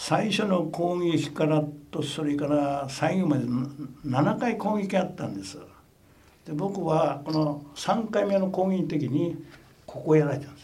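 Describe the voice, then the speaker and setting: A man with a fairly high pitch speaks at a fairly slow pace, with ordinary pitch variation. His loudness swings widely, and the room echo is audible. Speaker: war veteran. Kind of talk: testimony.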